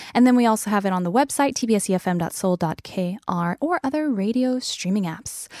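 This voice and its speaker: With hardly any pauses, a woman speaks in a fairly high voice with lively intonation, the sound dry and close with no echo. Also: very clean recording, silent background. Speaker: radio host. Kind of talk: casual radio chat. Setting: radio studio.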